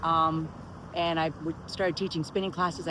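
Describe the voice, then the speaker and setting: With an American accent, a speaker moves at a fairly quick pace as noticeable noise plays in the background. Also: woman. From Miami, Florida. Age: 60s. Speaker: personal trainer and spinning instructor. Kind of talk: casual talk to camera.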